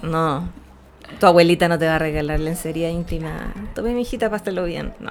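A woman with a Chilean accent speaks at a fairly low pitch. Her pace is fairly quick. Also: ordinary pitch variation. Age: 30s. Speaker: astrology podcast co-host. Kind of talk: casual chat. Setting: live stream.

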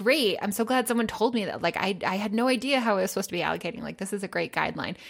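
Vocal fry runs through this woman's speech. Her pitch is fairly high. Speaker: personal finance co-host. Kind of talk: casual chat. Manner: upbeat.

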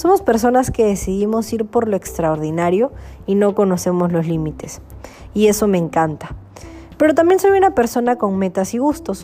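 A woman talks at medium pitch and a moderate pace. Her intonation is lively, and there is noticeable background noise. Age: 20s. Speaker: entrepreneur. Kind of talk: personal introduction monologue.

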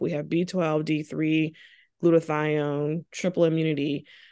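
At a moderate pace, a woman speaks in a fairly low, monotone, flat voice over a quiet background. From Charleston, South Carolina. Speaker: family physician. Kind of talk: interview.

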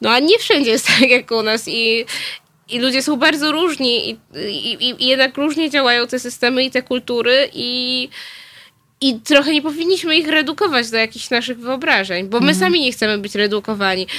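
A woman speaks with a high pitch, a bright, sharp tone, and ordinary pitch variation. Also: moderate pace. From southern Poland, Nowy Sącz. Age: 20s. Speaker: journalist. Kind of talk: radio interview. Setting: studio. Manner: hesitant, many fillers.

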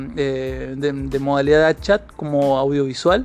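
A man is speaking. Music plays in the background. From Argentina, San Juan. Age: 20s. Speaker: podcast host and writer. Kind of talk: podcast monologue introducing a season.

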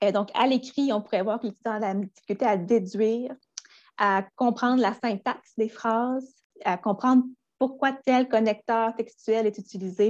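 A woman speaks at a moderate pace with a fairly high pitch and fairly even intonation. The background is quiet. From Quebec, Gaspé. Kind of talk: educational interview. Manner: hesitant with fillers.

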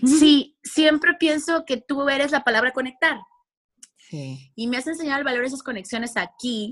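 Pitched high, a female voice shows ordinary variation in its intonation. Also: moderate pace. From Mexico. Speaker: radio and television communicator. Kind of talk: casual interview chat.

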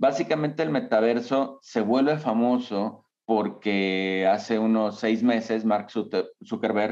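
A man talks in a normal speaking voice, his medium pitch showing ordinary variation. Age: 40s. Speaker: architect and tech business founder. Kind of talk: interview.

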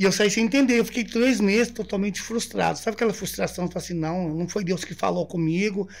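Speaking with hardly any pauses, a man uses a high pitch and ordinary pitch variation. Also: fairly quick pace. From interior of São Paulo state, Brazil. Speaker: missionary. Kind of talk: casual interview. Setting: studio.

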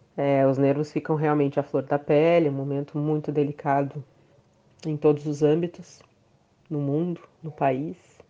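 Her pitch very deep and low for a woman, she speaks at a moderate pace in a dark, mellow tone with monotone, flat intonation and long, frequent pauses. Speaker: violist and composer. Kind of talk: interview testimony.

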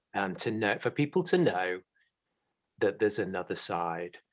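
Against a quiet background, a man with a British accent speaks at a fairly low pitch. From UK. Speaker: podcast co-host and mental health educator. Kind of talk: casual chat, podcast conversation.

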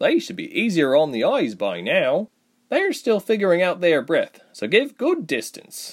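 A man's put-on character voice at a high pitch and moderate pace, on a very clean recording with a silent background. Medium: audio drama. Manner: easygoing, happy, chatty.

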